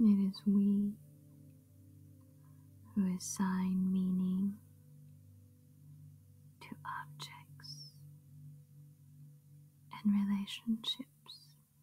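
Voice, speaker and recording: The voice is soft-spoken, with music in the background. It moves at a very slow pace with long, frequent pauses. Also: woman. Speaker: ASMR meditation guide. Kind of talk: meditation reading. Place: home room.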